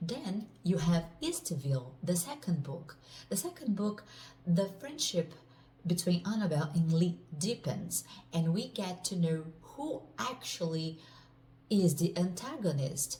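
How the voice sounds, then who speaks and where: A woman in a Portuguese accent, fairly low-pitched and somewhat breathy, with a dark, mellow tone, lively intonation and a fairly slow pace. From Brazil. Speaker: author. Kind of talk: casual self-introduction and book overview.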